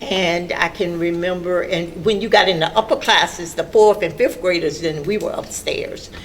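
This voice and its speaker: Over noticeable background noise, a woman with an American accent speaks at a fairly slow pace. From Orlando, Florida. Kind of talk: interview answer.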